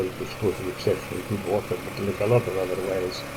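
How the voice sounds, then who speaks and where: Over noticeable background noise, a man speaks in a flat monotone at a fairly low pitch. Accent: Scottish Highland. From Glen Shiel, Scottish Highlands. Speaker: sheep farmer. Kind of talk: oral history interview answer. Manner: relaxed, conversational.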